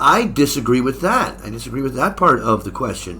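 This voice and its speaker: With an American accent, a man speaks at a moderate pace. His pitch is medium and his intonation lively. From United States. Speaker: English exam teacher. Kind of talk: tutorial. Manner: casual, halting with fillers.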